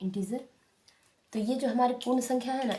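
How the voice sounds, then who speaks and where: A woman's dark, mellow voice sounds somewhat breathy, with fairly even intonation. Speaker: maths teacher. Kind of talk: tutorial. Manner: repetitive, explanatory.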